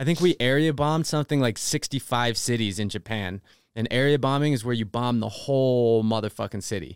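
A plain, everyday voice moves at a fairly quick pace. The recording is very clean with a silent background and has a dry, close sound with no echo. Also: man, medium pitch for a man, ordinary pitch variation. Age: 30s. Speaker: music producer and DJ. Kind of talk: casual chat.

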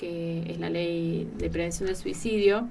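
At a very slow pace, a woman talks with a fairly low pitch and fairly even intonation. The room echo can be heard. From Argentina, Carpintería (San Luis). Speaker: psychologist. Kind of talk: radio interview.

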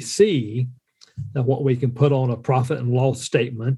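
A man talks in an Appalachian accent with a dark, mellow, somewhat breathy tone. His pitch is medium and his intonation fairly even. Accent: Southern US (Appalachian). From US South, western North Carolina. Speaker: entrepreneur and business mentor, Air Force veteran. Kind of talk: casual conversational chat.

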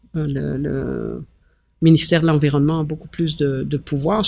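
Over music in the background, a woman with a very deep, low pitch talks at a fairly slow pace with fairly even intonation. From Belgium. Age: 60s. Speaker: mayor and former restaurant owner. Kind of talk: casual interview chat.

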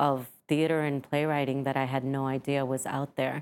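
The speaker is a woman. Her accent is American. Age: middle-aged. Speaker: playwright. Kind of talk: casual interview. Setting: studio.

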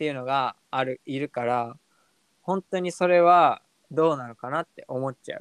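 A man uses a normal speaking voice at a fairly high pitch and moderate pace, with ordinary pitch variation. Loudness swings widely, and the sound is dry and close with no echo. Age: 20s. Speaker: podcast co-host, office worker. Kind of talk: casual chat.

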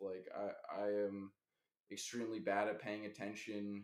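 A man is speaking. His pace is very slow. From Los Angeles. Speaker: Twitch streamer. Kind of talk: casual chat.

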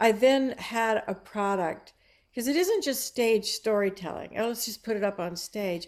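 A woman with an American accent and a plain, everyday voice, fairly high in pitch, with ordinary pitch variation and a moderate pace, in a very clean recording with a silent background. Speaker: playwright. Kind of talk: casual interview.

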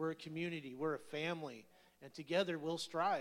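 A man speaks at a fairly high pitch. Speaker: person in recovery. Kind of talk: testimony. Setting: church with congregation. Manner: animated.

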